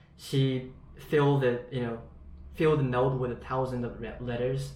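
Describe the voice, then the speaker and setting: In a room with audible echo, a man keeps a moderate pace and a fairly even intonation. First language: Japanese. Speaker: English learner. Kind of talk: online lesson conversation. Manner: halting.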